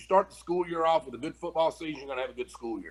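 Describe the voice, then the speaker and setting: Speaking with an American accent, a man talks at a very fast pace. His voice is fairly high, with ordinary pitch variation. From Kentucky, Mount Sterling. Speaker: high school football coach. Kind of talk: interview.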